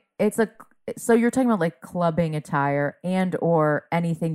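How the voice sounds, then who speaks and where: In a dry, close sound with no echo, a woman with a plain, everyday voice speaks at a fairly low pitch with ordinary pitch variation. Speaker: comedian. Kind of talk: casual conversation.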